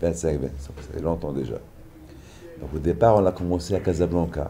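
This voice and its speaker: A man talks at a moderate pace with a very deep, low pitch and ordinary pitch variation. His loudness swings widely. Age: 60s. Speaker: pilgrimage organizer. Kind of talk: interview testimony.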